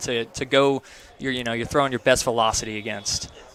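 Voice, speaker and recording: Over noticeable background noise, a man speaks with an American accent. His intonation is monotone and flat. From North Carolina coast. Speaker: baseball play-by-play announcer. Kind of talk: live sports commentary with interview. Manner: conversational, casual.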